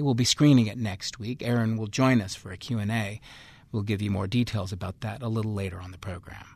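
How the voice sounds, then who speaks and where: Over a quiet background, a man talks at a very fast pace in a fairly low pitch, somewhat breathy and with fairly even intonation. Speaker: radio host. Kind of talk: radio interview. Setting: studio.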